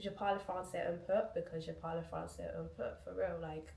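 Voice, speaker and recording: A woman talks at a moderate pace with audible room echo around her. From UK, moved from Guinea at about four. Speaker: YouTuber. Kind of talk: casual Q&A vlog. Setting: at home, back door open. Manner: chatty, many fillers.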